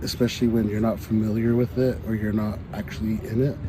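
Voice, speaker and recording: Over noticeable background noise, a man with a fairly low pitch speaks at a very fast pace. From Santa Clara Pueblo, New Mexico. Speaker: Pueblo hoop dancer. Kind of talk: interview answer.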